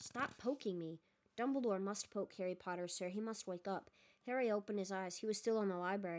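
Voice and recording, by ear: The text is read out naturally, its pitch moving in the usual way.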